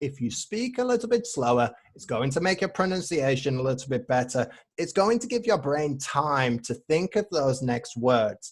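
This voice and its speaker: A man speaks at a fairly high pitch with very wide pitch swings. His voice is somewhat breathy. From northern England, Manchester. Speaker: English teacher. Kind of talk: casual chat. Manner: slow.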